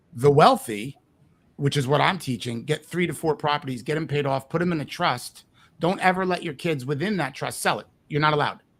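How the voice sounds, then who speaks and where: Speaking at a fairly quick pace with a New Jersey accent, a man uses a fairly high pitch and ordinary pitch variation. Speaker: real estate investing coach. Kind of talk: interview. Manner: animated.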